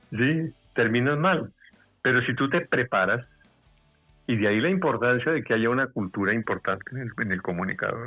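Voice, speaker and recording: Over music in the background, a man speaks at a moderate pace and medium pitch with lively intonation and long, frequent pauses. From Bogotá, Colombia. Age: 70s. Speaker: veteran radio announcer, commercial voice. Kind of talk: interview answer.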